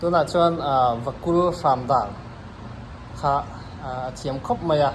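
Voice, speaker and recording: A man speaks at a moderate pace with ordinary pitch variation, with audible room echo and noticeable background noise. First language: Mizo. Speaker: vlogger. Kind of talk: casual chat. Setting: gym.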